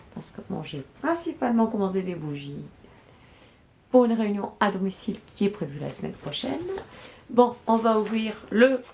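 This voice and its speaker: This woman's medium-pitched voice moves at a fairly slow pace over noticeable background noise. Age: 40s. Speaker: beauty product sales rep streamer. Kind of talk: live product unboxing sales stream. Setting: livestream. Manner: casual, hesitant with fillers.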